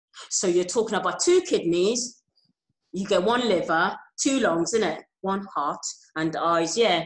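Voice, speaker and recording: Against a quiet background with audible room echo, a woman speaks slowly-ish at a fairly slow pace in a medium pitch with ordinary pitch variation. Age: 40s. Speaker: kidney patient and organ donation advocate. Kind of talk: interview. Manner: halting. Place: home room. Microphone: earbuds.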